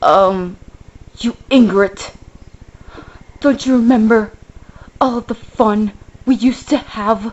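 A female-sounding, put-on character voice, fairly high and whiny, moves at a very slow pace. Long, frequent pauses break up the speech. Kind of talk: comic overacting. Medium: puppet show. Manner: whiny, guilt-tripping.

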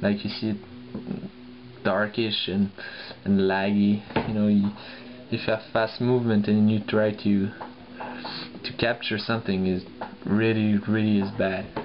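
Speaking with a non-native accent, a man uses a fairly low pitch, fairly even intonation and a fairly slow pace, with long, frequent pauses over light background noise. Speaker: laptop owner reviewing. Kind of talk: casual tech review talk. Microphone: phone near.

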